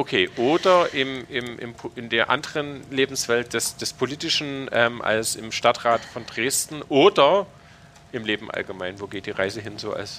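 Bright and sharp in tone, the voice moves with lively intonation and big swings in loudness. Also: man, medium pitch for a man. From Saxony, Königstein. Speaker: podcast host. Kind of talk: casual chat. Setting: university building room.

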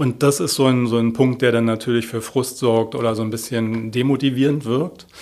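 Keeping a moderate pace with hardly any pauses, a man speaks at a medium pitch in monotone, flat intonation. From Berlin (Moabit). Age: 50s. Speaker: head of a homicide department. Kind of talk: interview.

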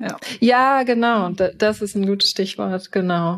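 This woman has a plain, everyday voice. She uses a medium pitch with fairly even intonation. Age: 30s. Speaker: software developer, consultant. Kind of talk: casual interview. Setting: remote podcast recording.

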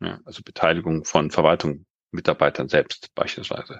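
A man talks at a moderate pace in a very deep, low voice with vocal fry. The sound is dry and close, without echo. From Global South (grew up abroad until 19). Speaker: democracy and governance consultant, researcher. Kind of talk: interview. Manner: halting with many fillers.

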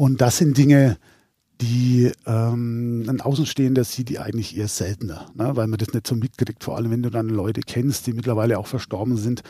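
Moderate pace and fairly even intonation from a man with a medium pitch and a dark, mellow tone. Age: 60s. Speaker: caretaker. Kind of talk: casual interview.

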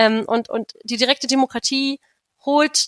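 A woman with a high-pitched voice speaks at a fairly slow pace with fairly even intonation, in a dry, close sound with no echo. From Brandenburg, near Berlin. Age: 20s. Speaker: democracy activist. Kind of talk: interview.

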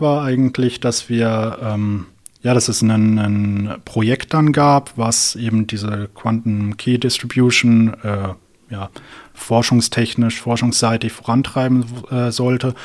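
A man with a medium-pitched voice talks very slowly, his intonation fairly even. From southern Germany, near Karlsruhe. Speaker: physics PhD student and startup founder. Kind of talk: interview. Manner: hesitant, many fillers.

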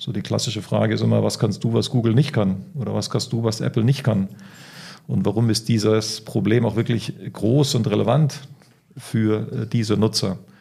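A man talks at a moderate pace with a fairly low pitch and ordinary pitch variation. His dark, mellow tone carries vocal fry. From Spain (Barcelona). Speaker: startup founder and consultant. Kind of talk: interview. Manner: hesitant fillers.

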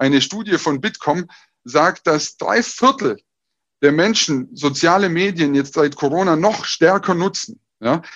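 Over a quiet background, a man with a high pitch speaks in an energetic tone with lively intonation. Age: 30s. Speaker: business coach and speaker. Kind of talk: online talk / presentation.

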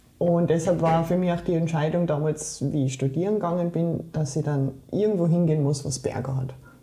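Noticeable background noise and audible room echo accompany fairly quick speech at a very even loudness with hardly any pauses. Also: woman, very deep, low pitch for a woman. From Germany, Saarland. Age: 40s. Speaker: trail runner and sports scientist. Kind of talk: interview.

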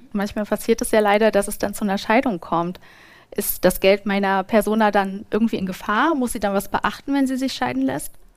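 The recording is very clean, with a silent background. A woman talks at a fairly quick pace in a medium pitch, with lively intonation. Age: 30s. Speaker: podcast host. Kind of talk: live podcast interview. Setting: stage with live audience.

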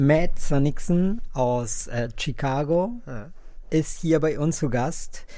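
With a Spanish accent, a man talks in a dark, mellow tone and ordinary pitch variation. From Colombia. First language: Spanish (speaking German). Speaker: podcast host. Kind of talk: interview.

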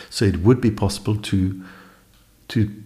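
Fairly low, somewhat breathy man's voice with a dark, mellow tone and a Norwegian accent, monotone and flat at a moderate pace. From Norway. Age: 50s. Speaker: electronic musician and producer. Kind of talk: casual chat. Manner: halting.

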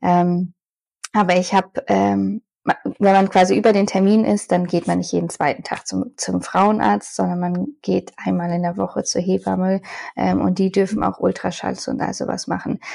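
A woman speaking at a moderate pace, on a very clean recording with a silent background. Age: 30s. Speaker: mother sharing birth story. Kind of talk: interview, personal testimony.

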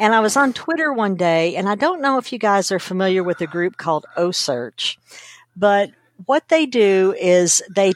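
Speaking with an American accent and an unremarkable speaking voice, a woman uses lively intonation at a medium pitch, recorded with a dry, close sound and no echo. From Kentucky, US South. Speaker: data storytelling consultant. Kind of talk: interview.

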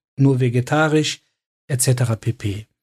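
In a dry, close sound with no echo, a man speaks at a very slow pace in a somewhat breathy voice. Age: 40s. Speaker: doctor and podcast co-host. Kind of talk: casual chat.

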